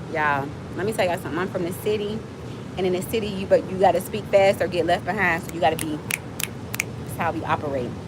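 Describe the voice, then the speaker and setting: Amid noticeable background noise and audible room echo, a woman with a fairly low pitch talks very fast in an animated tone, her pitch varying in an ordinary way. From Miami, Florida. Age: 40s. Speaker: livestreamer and nonprofit founder. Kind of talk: casual livestream chat. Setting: outdoors.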